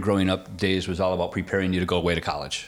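With a plain, everyday voice, a man speaks at a fairly quick pace in a fairly low pitch. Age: 50s. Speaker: insurance agency owner. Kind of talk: casual chat.

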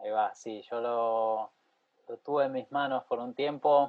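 Speaking very slowly, a man with a medium-pitched voice talks in a Rioplatense accent. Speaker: podcast host and pianist. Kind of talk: casual interview chat.

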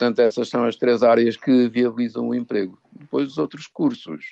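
At a fairly slow pace, a man uses an ordinary speaking voice of medium pitch, the sound dry and close with no echo. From northern Portugal, Douro region. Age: 60s. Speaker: psychologist. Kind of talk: radio interview.

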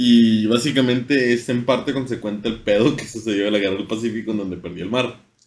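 A man at medium pitch talks at a fairly quick pace with hardly any pauses. His intonation stays fairly even. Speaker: podcast host. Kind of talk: casual chat. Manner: informal.

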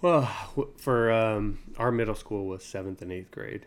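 A man with an American accent and an unremarkable speaking voice talks at a medium pitch and a fairly slow pace. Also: very clean recording, silent background. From Utah. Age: 30s. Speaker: podcast co-host. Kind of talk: casual chat.

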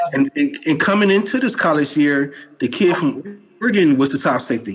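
A man talks with lively intonation at a moderate pace, and noticeable background noise can be heard. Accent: American. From Oakland, California. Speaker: sports writer. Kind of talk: casual chat.

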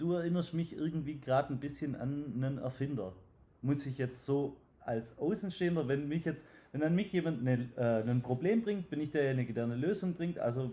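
Speaking with a Swabian accent, a man has a dark, mellow, somewhat breathy tone, a fairly quick pace and lively intonation. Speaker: podcast host and sales trainer. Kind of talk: interview. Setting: at guest's company premises.

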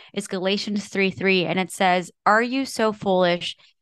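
Against a quiet background, a woman talks in an ordinary speaking voice at a medium pitch. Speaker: podcast host. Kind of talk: casual chat about scripture.

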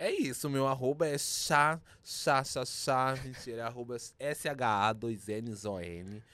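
A medium-pitched man with a bright, sharp tone at a very slow pace, with ordinary pitch variation and a very clean recording with a silent background. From Minas Gerais, Brazil (Zona da Mata). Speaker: drag performer. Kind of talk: casual interview.

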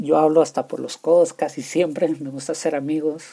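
A man with a northern Mexican accent talks at a moderate pace, his fairly high voice carrying a dark, mellow tone. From Mexico, Chihuahua. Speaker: podcast host. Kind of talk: casual solo podcast monologue. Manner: halting, many repetitions.

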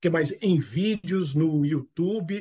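A man speaks with a high pitch and a dark, mellow tone. His pitch variation is ordinary. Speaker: business management expert. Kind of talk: interview.

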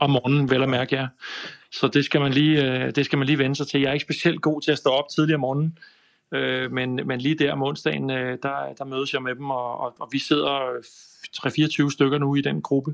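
The intonation is monotone and flat. Delivery comes at a moderate pace. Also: man, fairly high pitch for a man. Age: 50s. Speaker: video production business owner. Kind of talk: casual chat. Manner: halting, many fillers and repeats.

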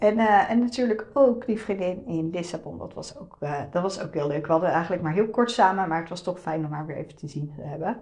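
Over noticeable background noise, a woman with a medium pitch and lively intonation talks at a fairly quick pace with hardly any pauses and big swings in loudness. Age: 30s. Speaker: podcast host, web designer. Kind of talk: solo podcast monologue. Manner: casual, many fillers.

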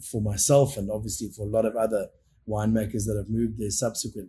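A man's medium-pitched voice, dark and mellow in tone, somewhat breathy, at a fairly quick pace. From South Africa, Cape Town area (Constantia). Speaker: winemaker. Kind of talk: casual interview. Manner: animated.

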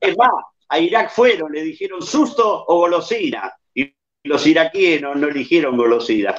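A man with a high pitch talks at a fairly slow pace, his pitch swinging very widely. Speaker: comedian. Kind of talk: stand-up style news comedy.

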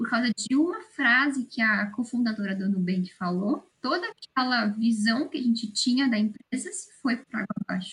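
Here is an ordinary speaking voice at a moderate pace. It shows ordinary pitch variation. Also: woman, fairly high pitch for a woman. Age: 20s. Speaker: student podcast co-host. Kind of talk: casual interview.

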